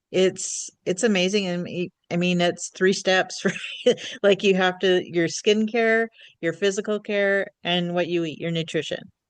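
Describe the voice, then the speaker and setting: A woman speaks with fairly even intonation in a plain, everyday voice. The background is quiet. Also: medium pitch for a woman, fairly slow pace. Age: 50s. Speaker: podcast host. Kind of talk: casual interview chat. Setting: podcast.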